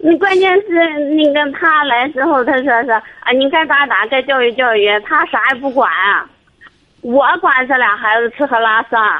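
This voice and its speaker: A woman speaks at a fairly slow pace in a high pitch, her intonation lively and her loudness very even. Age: 30s. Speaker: caller seeking marriage advice. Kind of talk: phone-in advice call. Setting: phone call.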